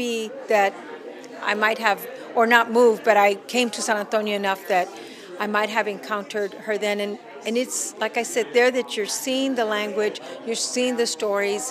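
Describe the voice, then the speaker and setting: A woman speaks at a moderate pace with a fairly high pitch and fairly even intonation. Crowd noise sounds in the background, along with audible room echo. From El Paso, Texas. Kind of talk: interview. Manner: loud.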